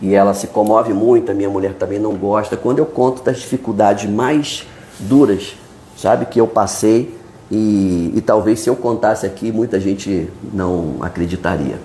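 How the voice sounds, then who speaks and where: A man with a Brazilian accent and a fairly low voice, moderate pace and ordinary pitch variation, against noticeable background noise. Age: 60s. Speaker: journalist, newspaper founder. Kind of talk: podcast interview.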